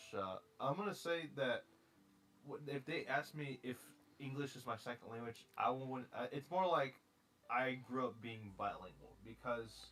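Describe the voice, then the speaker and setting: A man with an American accent talks at a moderate pace in a medium pitch. It is an ordinary speaking voice with ordinary pitch variation. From US. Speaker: streamer. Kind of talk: casual chat.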